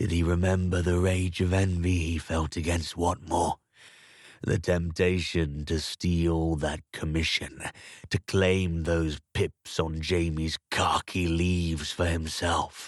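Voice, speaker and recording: A man's very deep, low voice, flat and monotone, at a fairly slow pace, very even in loudness, dry and close with no echo, over a quiet background. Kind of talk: literary crime story reading. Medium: read story. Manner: measured, contemplative.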